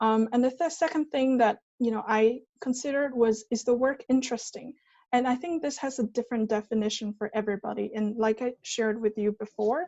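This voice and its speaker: Speaking at a fairly quick pace, a woman has a high pitch. She talks in a Chinese accent. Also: ordinary pitch variation. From China. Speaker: management consultant, former PhD researcher.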